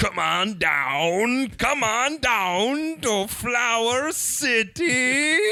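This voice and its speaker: This put-on character voice sits at a fairly high pitch and moves at a very slow pace. There are hardly any pauses. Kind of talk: announcer patter. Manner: upbeat, broadcast-style.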